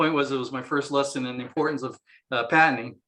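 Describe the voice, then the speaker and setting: A man with a slight San Diego accent speaks in a bright, sharp, fairly high voice, his intonation monotone and flat. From San Diego, California. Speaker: inventor. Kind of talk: interview. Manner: halting, many fillers.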